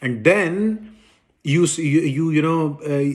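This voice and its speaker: A man with a Pakistani accent speaks at a fairly high pitch. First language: Urdu. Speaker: political commentator. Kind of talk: political monologue. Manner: halting, many repetitions and fillers; indignant, emphatic.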